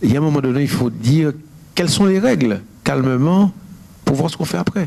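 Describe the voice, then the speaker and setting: Fairly high-pitched man with lively intonation at a moderate pace, plus noticeable background noise. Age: 60s. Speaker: painter. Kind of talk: interview. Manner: halting.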